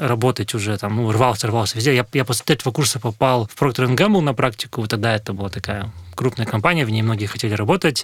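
This man has an unremarkable speaking voice at medium pitch, with ordinary pitch variation. The recording is very clean, with a silent background. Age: 30s. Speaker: food delivery company executive. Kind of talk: interview. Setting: studio.

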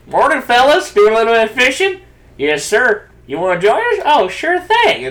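The speaker puts on a character voice at a fairly high pitch. The pitch swings very widely. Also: moderate pace. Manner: friendly, laid-back.

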